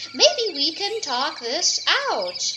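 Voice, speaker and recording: Over clear background noise, a woman puts on a squeaky character voice. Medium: read story.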